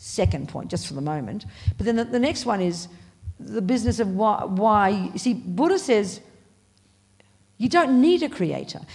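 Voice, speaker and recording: A woman with an Australian accent, vocal fry, very wide pitch swings and long, frequent pauses, amid audible room echo. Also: medium pitch for a woman, moderate pace. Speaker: Buddhist nun and teacher. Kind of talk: dharma talk. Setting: meditation hall with audience. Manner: animated.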